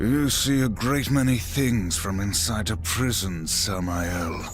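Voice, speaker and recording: Loud background noise surrounds a man doing a put-on character voice at a fairly low pitch. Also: fairly slow pace. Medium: video game. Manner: terse, grave.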